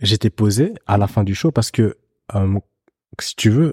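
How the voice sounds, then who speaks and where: A man talks at a fairly slow pace with a fairly low pitch and a dark, mellow, somewhat breathy tone. The sound is dry and close with no echo, in a very clean recording with a silent background. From Belgium. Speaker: photographer. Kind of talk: casual chat.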